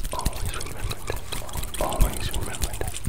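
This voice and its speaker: A man whispers. His tone is gentle and his pace moderate. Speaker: video creator. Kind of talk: soothing ASMR-style affirmations. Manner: gentle repeated whisper. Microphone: earbuds.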